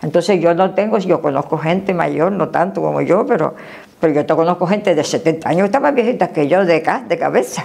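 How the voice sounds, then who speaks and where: Against noticeable background noise, a woman with a fairly low pitch speaks fairly quickly, her loudness very even and her pitch varying in an ordinary way. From Canary Islands (Gran Canaria). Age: 90s. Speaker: elderly local resident interviewee. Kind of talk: interview. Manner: animated.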